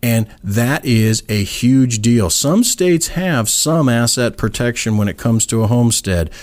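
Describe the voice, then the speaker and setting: A man with an American accent and a normal speaking voice talks at a moderate pace and medium pitch, using lively intonation. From southern California. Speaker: real estate attorney. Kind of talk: interview. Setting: studio.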